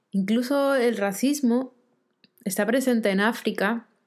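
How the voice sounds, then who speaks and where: A woman speaks with fairly even intonation. Her pitch stays mostly level. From Argentina, Rosario. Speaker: podcast host, life coach. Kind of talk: solo reflective monologue.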